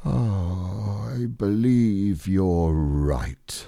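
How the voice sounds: In a very clean recording with a silent background, a put-on character voice with vocal fry and a dark, mellow tone moves at a very slow pace with ordinary pitch variation. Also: man, low pitch for a man.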